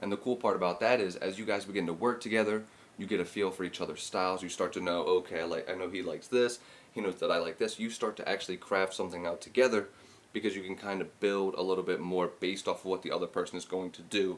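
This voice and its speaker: A man speaks quietly at a very fast pace. His voice sits fairly low, with fairly even intonation. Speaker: podcast host and music producer. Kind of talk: casual solo podcast talk. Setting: at home, early morning. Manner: kept quiet, voice held down; casual, with many fillers.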